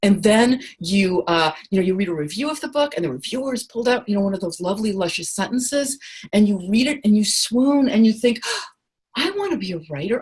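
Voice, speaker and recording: With lively intonation and an animated tone, a woman speaks at a fairly quick pace. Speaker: writing teacher and author. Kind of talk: workshop lecture on a group call. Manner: fast.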